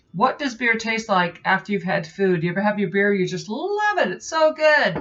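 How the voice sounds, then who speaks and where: A woman speaks at a moderate pace and medium pitch. She has a normal speaking voice. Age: 40s. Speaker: software tester and home brewer; beer reviewer. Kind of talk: casual beer review to camera.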